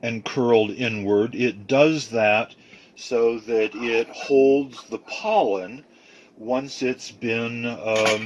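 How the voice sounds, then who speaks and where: A man's medium-pitched voice at a very slow pace, with fairly even intonation and noticeable background noise. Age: 70s. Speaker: home cook. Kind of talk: cooking tutorial. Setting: home kitchen. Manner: casual, with frequent fillers.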